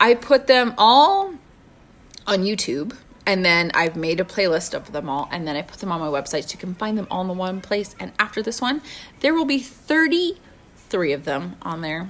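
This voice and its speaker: Loud and at a medium pitch, a woman speaks at a moderate pace with very wide pitch swings. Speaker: motivational live streamer. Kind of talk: casual live-stream talk.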